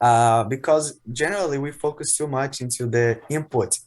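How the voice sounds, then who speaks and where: On a very clean recording with a silent background, a man speaks at medium pitch and a fairly slow pace with ordinary pitch variation. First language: not English. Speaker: English learner. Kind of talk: casual chat.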